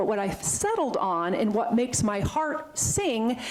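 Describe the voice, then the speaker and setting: A woman's fairly high, animated voice with very wide pitch swings over noticeable background noise. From Vermont. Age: 50s. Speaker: veterinarian and animal sanctuary founder. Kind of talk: talk to a club. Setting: talk to a club audience. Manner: fast.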